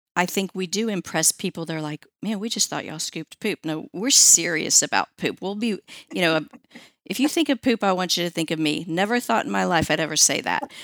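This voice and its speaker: Recorded very cleanly with a silent background and a dry, close sound with no echo, a woman with a normal speaking voice talks at a medium pitch with lively intonation. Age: 50s. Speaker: pet waste removal franchisee. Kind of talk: interview. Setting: studio.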